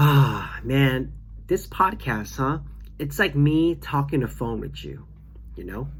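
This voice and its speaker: A man talks at a fairly slow pace. Room echo is audible around him. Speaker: podcast host. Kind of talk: casual solo podcast monologue. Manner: halting.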